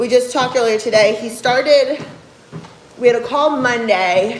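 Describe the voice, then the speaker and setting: With a New Jersey accent, a woman with a high pitch speaks at a moderate pace with ordinary pitch variation, amid noticeable background noise and audible room echo. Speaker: fitness coach and bodybuilder. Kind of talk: livestream chat reading viewer comments. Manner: casual, conversational.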